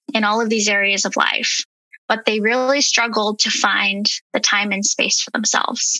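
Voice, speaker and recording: In a normal speaking voice, a woman speaks at a fairly slow pace and fairly high pitch with fairly even intonation, the sound dry and close with no echo. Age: 30s. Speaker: health and wellness coach. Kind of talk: casual interview.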